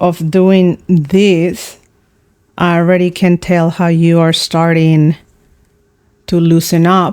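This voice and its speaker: The woman's voice sits at a fairly low pitch. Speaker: art teacher. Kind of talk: tutorial. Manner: slow; halting.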